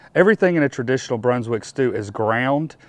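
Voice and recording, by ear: A man speaks at a fairly quick pace. His pitch shows ordinary variation.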